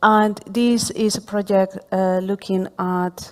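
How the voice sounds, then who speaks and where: Recorded very cleanly against a silent background, a woman with a Spanish accent speaks in a monotone, flat intonation. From Spain. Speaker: professor. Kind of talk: panel discussion. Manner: hesitant, many fillers.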